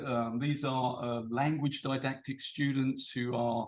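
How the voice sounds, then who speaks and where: A man with a British accent, fairly high in pitch, at a fairly slow pace. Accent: British accent noted by speaker. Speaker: English teacher and PhD student. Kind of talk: conference presentation. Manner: hesitant, many fillers.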